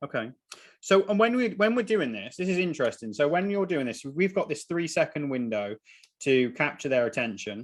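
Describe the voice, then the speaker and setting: Over a quiet background, a man with an English accent talks at a fairly quick pace, his fairly high pitch swinging very widely. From England. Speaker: podcast host, marketer. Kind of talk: casual podcast interview.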